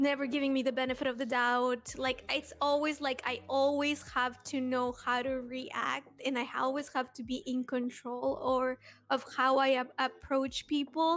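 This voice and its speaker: In a Spanish accent, a woman talks at a moderate pace in a high pitch with monotone, flat intonation. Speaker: podcast panelist. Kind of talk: casual chat.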